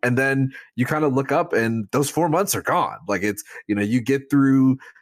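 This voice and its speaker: A man's normal speaking voice at medium pitch, with ordinary pitch variation and a moderate pace, on a very clean, dry, close recording with a silent background and no echo. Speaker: podcast co-host. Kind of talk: casual sports podcast discussion.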